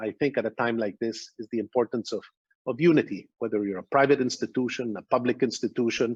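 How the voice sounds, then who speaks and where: With a dry, close sound and no echo, a man talks at a fairly quick pace in a medium pitch with ordinary pitch variation. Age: 60s. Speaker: business executive. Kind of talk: keynote speech. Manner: halting.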